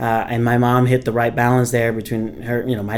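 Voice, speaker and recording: A man's medium-pitched voice with a Vietnamese accent, fairly quick and flat in a monotone. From Vietnam, Ho Chi Minh City. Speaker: civil engineer and company founder. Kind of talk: podcast interview.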